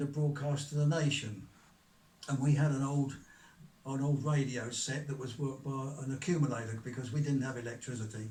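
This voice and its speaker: Audible room echo surrounds a man speaking at a moderate pace, with a medium pitch and fairly even intonation. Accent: southern English. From Kent, southern England. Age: 90s. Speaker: author. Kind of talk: interview, life story. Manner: halting, with fillers.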